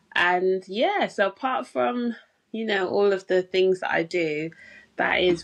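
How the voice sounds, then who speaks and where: Against a quiet background, a woman with a British accent speaks at a fairly slow pace with lively intonation. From England, London. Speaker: pharmacist and health coach. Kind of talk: podcast interview. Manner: hesitant, many fillers.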